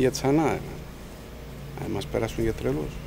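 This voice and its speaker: A man with a Cappadocian accent speaks over noticeable background noise. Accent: Cappadocian Greek dialect (Misti variety). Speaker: farmer. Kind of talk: narrative interview answer. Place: garden.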